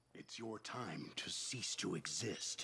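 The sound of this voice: A put-on character voice from a man, slow and fairly low, with vocal fry, a husky, rough edge, a bright, sharp tone and lively intonation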